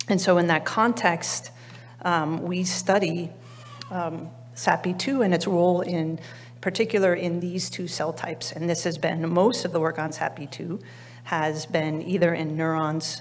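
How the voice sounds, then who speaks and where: A woman speaks quietly at a fairly slow pace. Her fairly low voice keeps a fairly even intonation. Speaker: biology researcher; presenter. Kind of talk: conference talk. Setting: conference stage with audience. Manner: halting, many fillers; quiet, weak projection. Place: hall. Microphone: podium.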